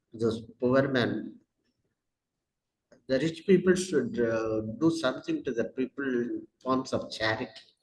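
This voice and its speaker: A man talks in a Tamil Indian accent with lively intonation. His medium-pitched voice sounds somewhat breathy. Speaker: educator with doctorate in English. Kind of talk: interview. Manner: halting, many fillers.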